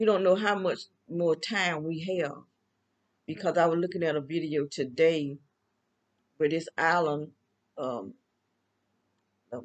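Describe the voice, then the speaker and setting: A woman speaks in a Southern US accent at a fairly slow pace. Her voice is fairly low. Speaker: vlogger. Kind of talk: casual monologue. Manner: halting.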